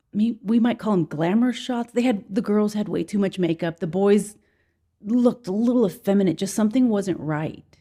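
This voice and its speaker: A somewhat breathy voice with an American accent, moderate pace and ordinary pitch variation, in a very clean recording with a silent background. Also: woman, medium pitch for a woman. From Southern California, East LA suburb. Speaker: ministry leader. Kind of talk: interview testimony.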